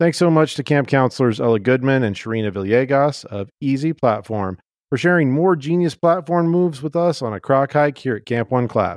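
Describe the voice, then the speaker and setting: A man with an ordinary speaking voice talks at a fairly quick pace and medium pitch, his intonation lively and hardly any pauses in his speech. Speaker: podcast host and camp director. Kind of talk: casual chat, podcast interview.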